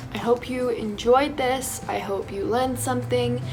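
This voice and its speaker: A woman talks at a moderate pace with very wide pitch swings. Music plays in the background, and room echo is audible. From England, moved to Canada at five. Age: 20s. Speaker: beauty vlogger, student. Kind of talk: makeup tutorial. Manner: casual, hesitant with fillers.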